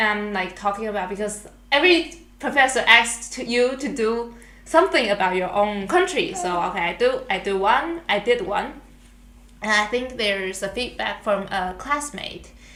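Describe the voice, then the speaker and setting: Someone with a Chinese accent speaks at a moderate pace with lively intonation, amid noticeable background noise and audible room echo. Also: woman, fairly high pitch for a woman. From Taiwan. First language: Mandarin Chinese. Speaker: international student podcast co-host. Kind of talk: casual chat. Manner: halting.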